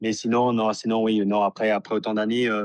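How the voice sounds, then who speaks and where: A man talks fairly quickly. Behind him the background stays quiet. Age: 30s. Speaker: professional footballer. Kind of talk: interview. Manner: halting, many repetitions and fillers.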